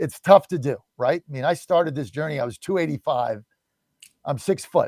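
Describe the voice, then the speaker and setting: The speech moves at a fairly quick pace with ordinary pitch variation and a somewhat breathy quality, recorded with a dry, close sound and no echo. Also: man. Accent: American. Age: 60s. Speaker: radio talk show host. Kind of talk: talk radio interview. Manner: animated.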